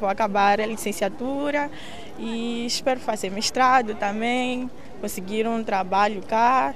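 At a fairly slow pace, a woman speaks in a fairly high voice with ordinary pitch variation, with audible room echo around her. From Mozambique, Maputo. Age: 20s. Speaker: university student. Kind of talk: interview.

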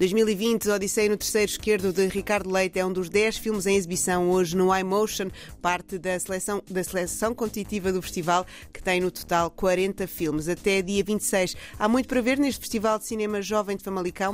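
This woman talks at a moderate pace with a medium pitch and fairly even intonation. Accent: European Portuguese. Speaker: radio culture reporter. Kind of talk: radio segment, scripted news reading.

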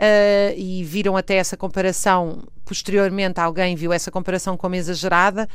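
A woman talks with a European Portuguese accent. Her pace is moderate. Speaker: historian. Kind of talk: interview. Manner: hesitant with fillers.

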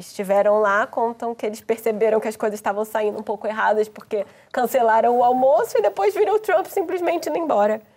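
Her intonation lively and her pitch fairly high, a woman talks at a very fast pace with hardly any pauses. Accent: Brazilian. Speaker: journalist. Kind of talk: panel discussion.

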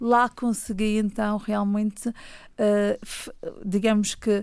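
A woman with a fairly high voice speaks at a fairly slow pace with fairly even intonation, on a very clean recording with a silent background. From Madeira, Portugal (Funchal). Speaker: children's author and storyteller. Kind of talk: radio interview. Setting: studio.

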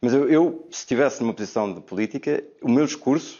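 A man talks with lively intonation. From Portugal. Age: 30s. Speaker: education specialist. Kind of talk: TV debate. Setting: remote video link. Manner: halting, with many repetitions.

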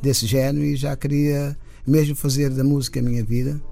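This man's voice has a dark, mellow tone and a fairly high pitch, moving at a moderate pace. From Cape Verde, São Vicente. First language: Cape Verdean Creole (speaking Portuguese). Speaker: musician. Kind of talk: radio interview. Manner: halting.

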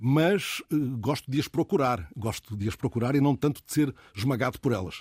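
Here a man speaks at a moderate pace with lively intonation. His voice is somewhat breathy, and the sound is dry and close with no echo. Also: medium pitch for a man. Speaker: radio host. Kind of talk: casual chat. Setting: studio.

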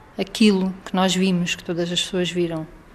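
A woman talks at a medium pitch with noticeable background noise. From Portugal, Algarve (Faro). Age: 30s. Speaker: former resident of a children's care home. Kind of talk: interview testimony. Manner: halting.

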